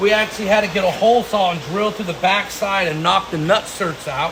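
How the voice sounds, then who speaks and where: A man's high-pitched voice comes with audible room echo and noticeable background noise. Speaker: Jeep shop owner and builder. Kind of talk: casual shop update video. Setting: workshop.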